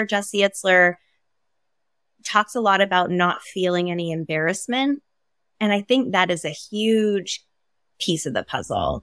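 A woman speaks at a fairly slow pace with long, frequent pauses, in an American accent, at a medium pitch with ordinary pitch variation. The recording is very clean, with a silent background and a dry, close sound with no echo. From Maine, US. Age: 40s. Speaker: stylist and entrepreneur. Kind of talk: interview conversation.

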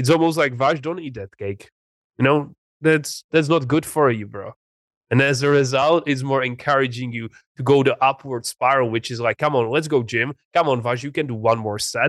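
A man of medium pitch speaks with a Czech accent at a moderate pace. The background is quiet, with a dry, close sound with no echo. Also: ordinary pitch variation. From Czech Republic, small town. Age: 20s. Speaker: entrepreneur and mindset coach. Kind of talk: interview.

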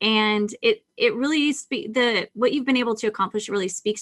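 In a very clean recording with a silent background, the sound is dry and close with no echo. A woman with a plain, everyday voice talks at a moderate pace with ordinary pitch variation. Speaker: podcast host. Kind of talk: interview, business podcast.

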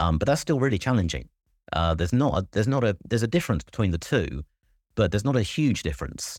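A man with an English accent speaks very fast in a fairly low voice with vocal fry, very wide pitch swings and very even loudness, on a very clean recording with a silent background. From England. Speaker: school principal. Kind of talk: interview.

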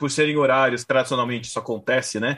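A man talks very fast, his pitch fairly high. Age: 30s. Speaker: podcast host. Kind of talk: casual chat.

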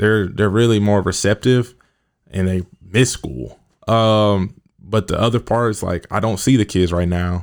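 A man with an American accent and an unremarkable speaking voice talks at a fairly slow pace, his pitch fairly low with ordinary variation. The recording is very clean, with a silent background. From US Midwest, Kansas City. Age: 20s. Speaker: youth worker and mentor. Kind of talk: podcast interview. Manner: casual, many fillers.

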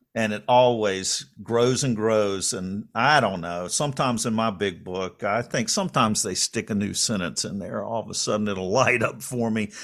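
At a moderate pace and with hardly any pauses, a man with an American accent and an unremarkable speaking voice talks in a fairly low pitch with ordinary variation, on a very clean recording with a silent background. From North Carolina.

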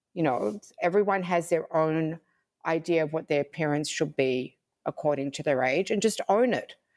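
A woman speaks with an American accent at a fairly low pitch and moderate pace. Her intonation is lively on a very clean recording with a silent background. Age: 60s. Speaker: fashion designer and digital creator. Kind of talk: podcast interview.

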